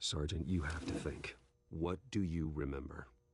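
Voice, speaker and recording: A man's put-on character voice, very deep and low, calm in tone, at a moderate pace with fairly even intonation. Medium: video game. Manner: calm, measured.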